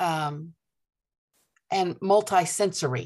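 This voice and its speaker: A woman with a fairly low pitch speaks in a passionate tone. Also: quiet background. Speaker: author and homeschool educator. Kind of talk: interview.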